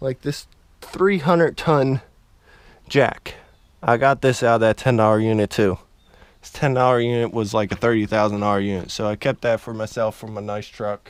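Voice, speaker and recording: In a plain, everyday voice, a man at medium pitch talks at a moderate pace with big swings in loudness. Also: ordinary pitch variation. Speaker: storage auction buyer vlogger. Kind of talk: casual vlog walkthrough. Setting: at home, walking around garage.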